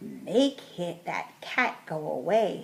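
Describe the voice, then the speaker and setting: A woman in a put-on character voice at a medium pitch. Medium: read story. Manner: fretful, scolding.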